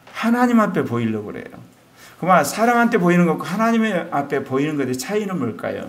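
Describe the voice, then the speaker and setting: A man talks at a moderate pace with very wide pitch swings, and audible room echo surrounds him. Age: 60s. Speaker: pastor. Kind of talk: sermon.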